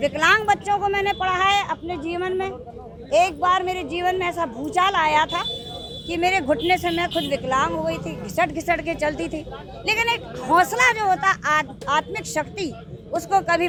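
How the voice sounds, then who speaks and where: The speaker uses a raised, projected voice with ordinary pitch variation. Crowd noise fills the background. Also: woman, extremely high pitch for a woman. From Bundelkhand, Uttar Pradesh (Jhansi). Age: 60s. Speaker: folk artist and social worker. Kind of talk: interview.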